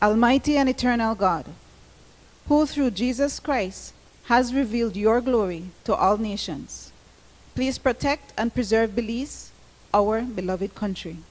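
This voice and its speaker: The voice is somewhat breathy, with ordinary pitch variation. It moves at a fairly slow pace with long, frequent pauses. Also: woman. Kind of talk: read formal prayer. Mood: solemn, reverent. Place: hall. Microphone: handheld.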